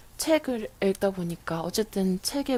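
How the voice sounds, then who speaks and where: A woman is talking. Her voice holds a medium pitch. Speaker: radio DJ. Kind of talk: casual radio talk reading listener messages.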